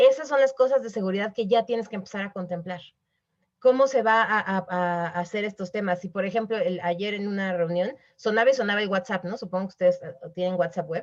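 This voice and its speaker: Against a quiet background, a woman with a medium pitch talks at a fairly quick pace with ordinary pitch variation. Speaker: webinar speaker on corporate responsibility. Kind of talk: webinar talk. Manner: fast; animated.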